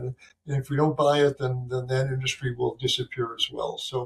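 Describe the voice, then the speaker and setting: A man with an American accent and medium pitch sounds somewhat breathy as he talks at a fairly quick pace. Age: 70s. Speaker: physician. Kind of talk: interview. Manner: halting, many fillers.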